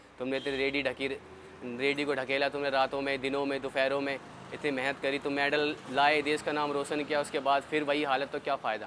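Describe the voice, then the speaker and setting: A man's fairly high voice holds a monotone, flat intonation at a moderate pace, with noticeable background noise around it. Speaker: athlete. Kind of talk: interview.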